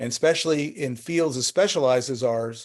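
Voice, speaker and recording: A man with an American accent talks at a fairly quick pace in a fairly high pitch with fairly even intonation, on a very clean recording with a silent background. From New Jersey. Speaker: art gallery owner. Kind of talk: presentation with Q&A. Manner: fast.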